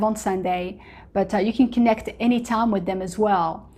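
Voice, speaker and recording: A woman speaks at a medium pitch with an Arabic accent. Her intonation stays fairly even. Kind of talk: casual testimony-style talk to camera. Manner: conversational, many fillers.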